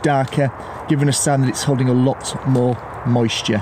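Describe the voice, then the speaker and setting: A man talks at a moderate pace, with noticeable background noise behind him. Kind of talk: tutorial. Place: forest.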